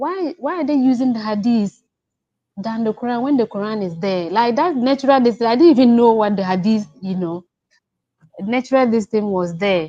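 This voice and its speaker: With a Ghanaian accent, a woman speaks in a fairly high pitch, her tone dark and mellow and her intonation lively. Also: moderate pace. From Ghana, village upbringing. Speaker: caller. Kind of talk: testimony. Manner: halting; soft-spoken.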